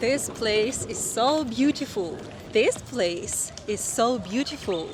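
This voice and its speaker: A woman speaks at a very slow pace, her pitch swinging very widely. Noticeable background noise sits behind her. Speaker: English teacher. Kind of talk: slow English lesson vlog. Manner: slow, clear.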